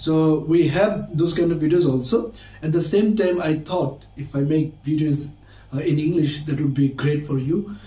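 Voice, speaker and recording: In a room with audible echo, a man with a Bangladeshi accent speaks with a dark, mellow tone at a fairly high pitch. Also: ordinary pitch variation, moderate pace. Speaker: English teacher, university student. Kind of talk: casual vlog-style talk. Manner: halting, with frequent fillers.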